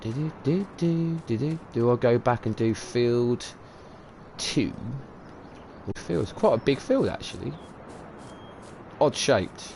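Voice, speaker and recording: Very slowly and with long, frequent pauses, a man speaks in a dark, mellow, somewhat breathy tone with lively intonation. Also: medium pitch for a man. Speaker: video game streamer. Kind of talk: live stream commentary. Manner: mumbling, repetitive; casual, rambling.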